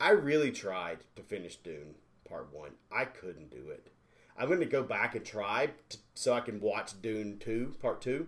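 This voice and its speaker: A man's medium-pitched voice with vocal fry, very wide pitch swings, big swings in loudness, and a fairly slow pace. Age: 40s. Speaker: podcast co-host. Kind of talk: casual chat. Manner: animated.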